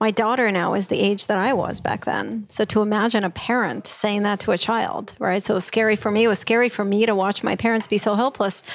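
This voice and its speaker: With a Russian accent, a woman speaks at a fairly quick pace and medium pitch, her intonation fairly even, her loudness very even and hardly any pauses breaking her speech. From former Soviet Union (Russia). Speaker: workplace happiness trainer. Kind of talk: interview.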